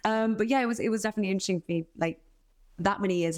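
A woman's voice, with pitch that rises and falls in a normal way, comes through on a very clean recording against total silence. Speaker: actor and writer. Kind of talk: casual interview chat.

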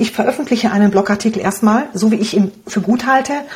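Over noticeable background noise, a woman speaks very fast at a fairly high pitch with ordinary pitch variation. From Romania. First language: Hungarian (speaking German). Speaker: blogger and online business coach. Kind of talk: interview.

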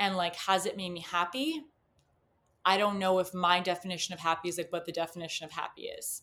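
A woman's medium-pitched voice with a Canadian accent, a bright, sharp tone, monotone, flat intonation and a moderate pace, on a very clean recording with a silent background. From Canada. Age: 20s. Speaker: podcast guest. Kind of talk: casual chat.

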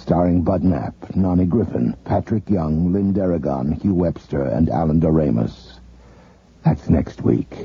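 Very deep and low in pitch, a man talks at a very slow pace with lively intonation. Noticeable background noise can be heard. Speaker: radio announcer. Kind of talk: 1980s radio drama announcer. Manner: formal, measured.

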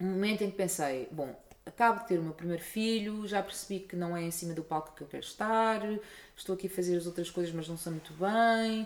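This woman has a plain, everyday voice. She talks at a moderate pace with lively intonation. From Portugal. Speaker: musicologist and opera singer. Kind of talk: interview.

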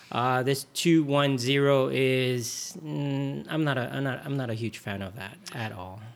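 With an ordinary speaking voice, a man talks at medium pitch and a fairly slow pace, hardly any pauses, and ordinary pitch variation. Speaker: hockey podcast host. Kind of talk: casual chat.

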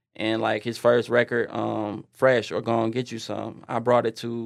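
Speaking at a medium pitch, a man keeps a monotone, flat intonation. His pace is fairly slow, with hardly any pauses. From Detroit, Michigan, US. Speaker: music and media entrepreneur. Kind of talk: casual chat.

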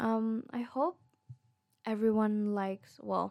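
Recorded very cleanly against a silent background, a woman with a non-native accent comes across in a dry, close sound with no echo. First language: not English. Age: 20s. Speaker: podcaster. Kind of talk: casual monologue. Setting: recording alone at home late at night.

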